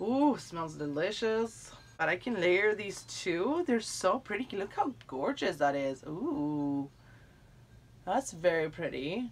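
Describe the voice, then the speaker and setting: A woman with a fairly low pitch talks at a very slow pace, her pitch swinging very widely. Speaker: YouTuber doing product unboxing. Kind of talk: unboxing review. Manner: animated. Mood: warm, delighted. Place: home room. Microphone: phone near.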